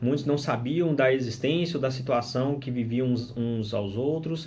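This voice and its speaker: In a Minas Gerais accent, a somewhat breathy man speaks at a fairly slow pace with ordinary pitch variation, and the room echo is audible. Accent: Brazilian Portuguese (mineiro). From Brazil, northern Minas Gerais. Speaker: religious teacher, returned missionary. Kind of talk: scripture study commentary. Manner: hesitant with fillers and restarts.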